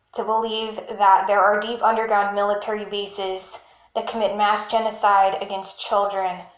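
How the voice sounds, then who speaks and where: A flat, monotone delivery with an American accent and audible room echo. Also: woman. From Texas, Austin. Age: 20s. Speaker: abuse survivor. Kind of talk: testimony.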